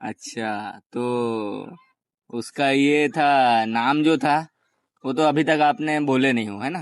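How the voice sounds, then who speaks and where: This man has a plain, everyday voice, fairly high in pitch, with ordinary pitch variation. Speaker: channel host and interviewer. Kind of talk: interview questions.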